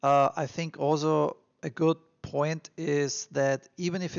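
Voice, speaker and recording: A man with an Austrian accent. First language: German. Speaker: immigration advice vlogger. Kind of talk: casual advice monologue. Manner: halting, many fillers.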